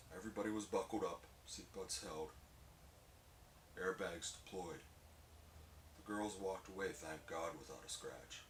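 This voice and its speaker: A man speaks at a moderate pace with a very deep, low pitch and ordinary pitch variation, leaving long, frequent pauses. His loudness swings widely, and background noise is noticeable. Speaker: strongman lifter. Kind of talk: spoken word monologue.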